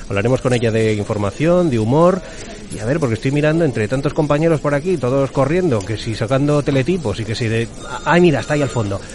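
Speech comes at a very fast pace with lively intonation, set against noticeable background noise. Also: man, medium pitch for a man. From Madrid. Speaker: podcast host. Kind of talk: casual chat; scripted intro.

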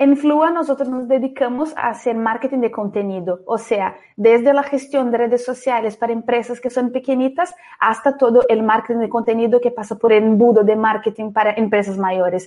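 A woman with a Brazilian accent and a fairly high pitch, at a moderate pace with hardly any pauses. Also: ordinary pitch variation. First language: Portuguese (speaking Spanish). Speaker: marketing entrepreneur. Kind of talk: interview.

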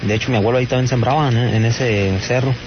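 A man with a Mexican accent talks at a fairly quick pace and medium pitch, with fairly even intonation. Noticeable background noise runs beneath his voice. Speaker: caller. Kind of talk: phone call.

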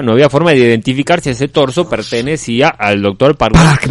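Over noticeable background noise, a man with an Argentine accent talks at a fairly quick pace with lively intonation. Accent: foreign accent, Argentine. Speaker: radio co-host. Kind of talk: comedic radio chat and storytelling.

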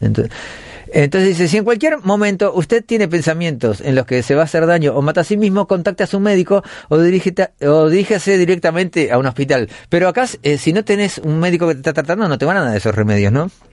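The man speaks at a very fast pace. His pitch is high for a man. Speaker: radio host. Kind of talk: comedic monologue.

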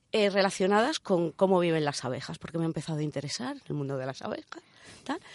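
A woman talks at a very fast pace with lively intonation and fairly low pitch. The sound is dry and close, with no echo. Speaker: radio co-host, engineer. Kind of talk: casual chat. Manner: put-on sultry voice in intro.

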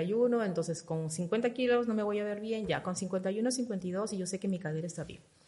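At a moderate pace, the somewhat breathy speech shows ordinary pitch variation. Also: woman. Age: 50s. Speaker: fitness program member sharing transformation. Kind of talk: interview testimony.

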